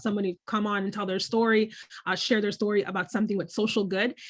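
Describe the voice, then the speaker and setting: A woman's fairly high, bright, sharp voice on a very clean recording with a silent background. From Dominican family in the US. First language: Spanish. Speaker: author and podcaster. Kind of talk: interview. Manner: hesitant, many fillers.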